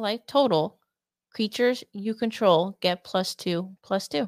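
A normal speaking voice from a woman at medium pitch, with ordinary pitch variation and a fairly slow pace, on a very clean recording with a silent background and a dry, close sound with no echo. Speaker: co-host reading cards. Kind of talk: reading aloud card text.

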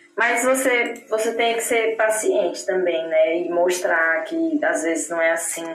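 Speaking at a very slow pace with a fairly high pitch and very wide pitch swings, a woman is heard over noticeable background noise. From Brazil, Palmas, Tocantins. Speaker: Brazilian expat interviewee. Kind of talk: casual interview.

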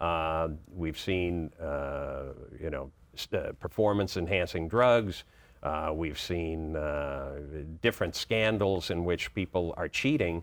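In a very clean recording with a silent background, a man with a very deep, low pitch talks very slowly in an American accent, his pitch varying in an ordinary way. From Boston, US. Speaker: children's sports author. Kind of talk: interview. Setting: studio. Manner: halting, many fillers.

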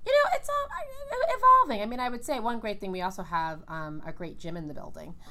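A woman with an American accent at a fairly quick pace, hardly any pauses and big swings in loudness, over noticeable background noise. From New York, Brooklyn. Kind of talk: interview.

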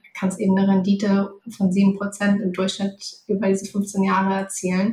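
Somewhat breathy speech moves along at a fairly quick pace. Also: woman. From Hamburg, northern Germany. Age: 30s. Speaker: finance coach. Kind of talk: interview.

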